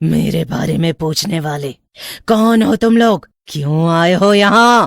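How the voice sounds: Using a cartoonish character voice, a woman talks at a fairly slow pace with a fairly low pitch.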